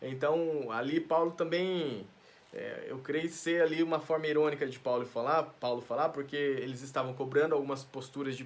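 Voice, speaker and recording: The man's voice sits at a fairly high pitch. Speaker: pastor teaching Bible study. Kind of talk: Bible study teaching. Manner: fast; halting, with frequent self-corrections.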